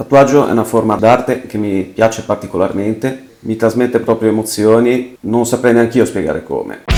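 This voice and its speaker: A man speaks at a moderate pace with fairly even intonation. Music plays in the background. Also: medium pitch for a man, hardly any pauses. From Liguria, province of Genoa, Italy. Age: 30s. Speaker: tattoo client. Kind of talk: testimonial interview.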